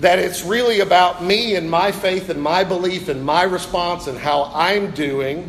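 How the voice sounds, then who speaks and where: Fairly slow, high-pitched male speech with ordinary pitch variation, noticeable background noise and audible room echo. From US Midwest (northern Ohio). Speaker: pastor. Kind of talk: sermon.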